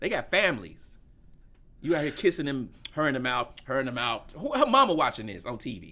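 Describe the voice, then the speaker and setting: The voice has a bright, sharp tone with vocal fry and very wide pitch swings. Delivery runs at a fairly quick pace. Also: man. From US South, Memphis. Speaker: comedian. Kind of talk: casual chat. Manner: animated.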